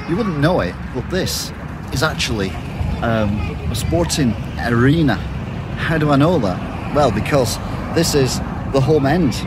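A man speaks at a fairly slow pace with long, frequent pauses, in a dry sound with no echo over loud background noise. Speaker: walking tour vlogger. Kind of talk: casual vlog chat. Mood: wry, joking. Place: street. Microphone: phone near.

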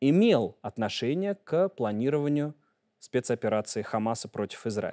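Delivered at a moderate pace, the voice has a dark, mellow tone over a quiet background. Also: man. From Russia. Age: 30s. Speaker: journalist. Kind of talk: interview. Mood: calm, assured. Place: studio. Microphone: lapel.

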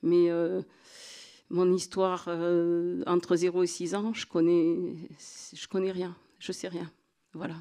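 Against a quiet background, a woman with a fairly low pitch and a dark, mellow tone speaks very slowly in a monotone with flat intonation, long, frequent pauses and big swings in loudness. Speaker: association representative. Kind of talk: panel talk. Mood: earnest, reflective. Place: hall. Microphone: handheld.

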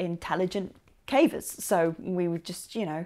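A woman with a plain, everyday voice talks at a moderate pace and fairly low pitch, with fairly even intonation. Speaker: vlogger. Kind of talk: casual storytelling vlog. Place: home room. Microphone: lapel.

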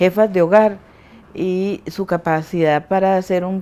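A woman speaks at a fairly slow pace in a fairly low, dark, mellow voice with fairly even intonation. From Costa Rica. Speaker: community leader. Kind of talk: interview. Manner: halting. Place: home room. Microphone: lapel.

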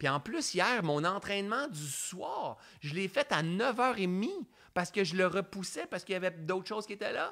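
An animated, bright, sharp voice with very wide pitch swings sits in a very clean recording with a silent background. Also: man. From Quebec, Sherbrooke. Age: 40s. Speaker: mindfulness coach. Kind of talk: live-streamed coaching talk. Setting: Facebook live stream.

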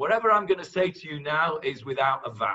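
A man with a high pitch and a bright, sharp tone speaks against a quiet background. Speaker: religious teacher. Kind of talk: lecture. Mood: warm, light-hearted teaching. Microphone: webcam.

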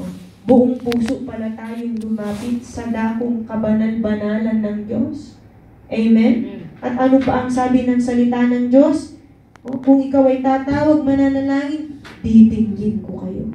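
An animated woman in a Filipino accent, high in pitch, fairly slow, with audible room echo. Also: big swings in loudness. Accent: Filipino English and Tagalog. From Philippines. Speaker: prayer meeting leader. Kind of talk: fervent prayer and Bible teaching to a congregation. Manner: fervent, animated, call-and-response with 'Amen'; warm, exhortative, preacher-like. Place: church.

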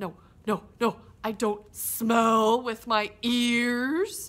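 Using a cartoonish character voice, a woman speaks at a very slow pace with a fairly high pitch. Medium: puppet. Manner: patient.

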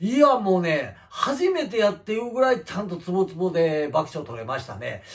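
A man talks in a high pitch with very wide pitch swings. His loudness swings greatly, and he leaves hardly any pauses. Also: moderate pace. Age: 50s. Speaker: comedian. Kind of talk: casual vlog talk. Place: home room. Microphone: camera far.

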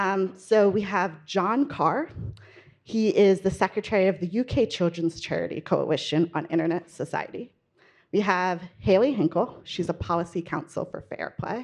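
Against a quiet background, a woman talks at a moderate pace with ordinary pitch variation. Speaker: panel moderator, reporter. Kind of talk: panel introduction. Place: hall. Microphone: handheld.

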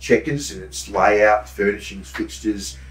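A man with an Australian accent talks at a moderate pace with vocal fry and very wide pitch swings, amid audible room echo. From Brisbane, Australia. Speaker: true crime author and tour operator; host or guest historian. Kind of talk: casual chat. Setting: studio. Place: studio.

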